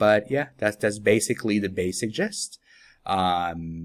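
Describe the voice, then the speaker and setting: At a fairly slow pace, a man with a Spanish accent speaks in a very deep, low voice with ordinary pitch variation, in a very clean recording with a silent background. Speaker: app developer. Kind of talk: software tutorial. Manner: casual with many fillers.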